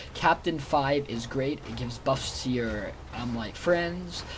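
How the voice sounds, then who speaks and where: A man speaks with ordinary pitch variation against light background noise. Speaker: gamer. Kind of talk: gameplay commentary.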